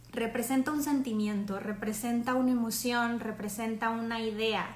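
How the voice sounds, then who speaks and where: There is noticeable background noise as a woman speaks. The room echo is audible. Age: 30s. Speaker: art history presenter. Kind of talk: lecture. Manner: casual, with filler hesitations.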